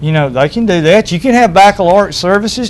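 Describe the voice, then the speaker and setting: Over noticeable background noise, a man with an Alabama accent talks with ordinary pitch variation. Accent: Alabama Southern US. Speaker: school official. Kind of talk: TV talk show interview. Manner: halting, repeats words.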